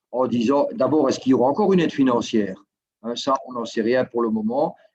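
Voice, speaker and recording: Speaking at a fairly quick pace, a man with a Belgian accent holds a medium pitch with ordinary pitch variation. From Belgium. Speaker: guest from Belgium. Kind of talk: casual interview.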